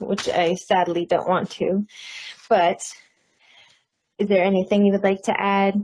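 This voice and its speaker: A woman talks at a medium pitch with monotone, flat intonation. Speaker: interviewer. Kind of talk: interview.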